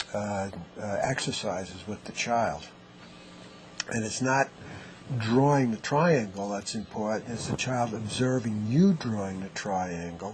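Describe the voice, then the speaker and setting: Over noticeable background noise, a man with a fairly low pitch talks at a fairly slow pace, leaving long, frequent pauses, with ordinary pitch variation. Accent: New York. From US, New York. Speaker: neurotherapy clinician. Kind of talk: interview.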